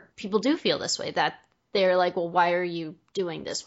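A woman's plain, everyday voice, fairly low in pitch, with a fairly quick pace and fairly even intonation. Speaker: podcast host and interviewer. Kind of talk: casual interview chat. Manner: friendly, laughs often.

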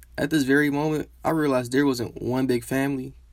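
In a monotone, flat delivery, a man talks at a very fast pace. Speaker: student storyteller. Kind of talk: scripted narration.

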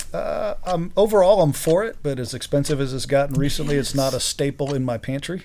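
A very fast male voice with a Midwestern American accent, fairly high in pitch, with ordinary pitch variation. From Greater Cincinnati suburbs, Ohio. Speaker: realtor. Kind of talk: casual chat. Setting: studio.

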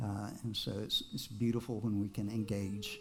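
Music plays in the background and the room echo is audible as the speaker goes at a moderate pace. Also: man. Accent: American. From Texas. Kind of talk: personal testimony to a congregation.

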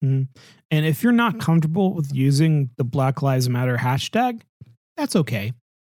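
Somewhat breathy and fairly high-pitched, this man's voice has lively intonation, recorded dry and close with no echo on a very clean track with a silent background. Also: moderate pace, very even loudness. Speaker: podcast host. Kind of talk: casual chat.

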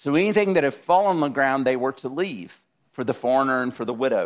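A man with a Southern US accent at a moderate pace, lively intonation on a very clean recording with a silent background. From South Georgia, US. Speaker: guest preacher. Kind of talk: sermon.

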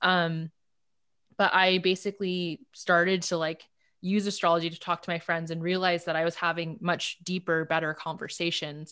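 In a Californian accent, a woman speaks with a bright, sharp tone at a fairly low pitch, her intonation monotone and flat, on a very clean recording with a silent background. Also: moderate pace. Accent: Californian American English. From Los Angeles, South Bay (Palos Verdes). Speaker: dating app founder and CEO. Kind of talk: casual interview chat.

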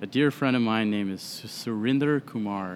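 A man with an American accent speaks in a plain, everyday voice at a fairly low pitch, with fairly even intonation and a moderate pace. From US Midwest, Des Moines, Iowa. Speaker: whiskey brand sales representative. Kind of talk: casual chat. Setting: upstairs room at a brewery, drinking beer.

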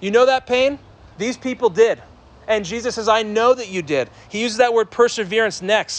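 Shouting loudly in an animated tone, a man speaks at a high pitch with ordinary pitch variation. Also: moderate pace. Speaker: pastor. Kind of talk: sermon. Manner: loud, yelling to reach the back.

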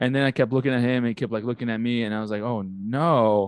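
A man with an American accent talks at a fairly quick pace and a medium pitch. His intonation stays fairly even over a quiet background. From outside the US. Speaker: podcast co-host. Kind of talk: casual chat. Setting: recording at night, drinking.

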